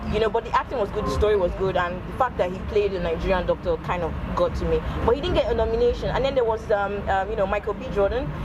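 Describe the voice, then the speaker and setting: A woman rushes along at a very fast pace while noticeable noise sounds behind her. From Nigeria. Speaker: radio presenter. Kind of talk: casual interview chat.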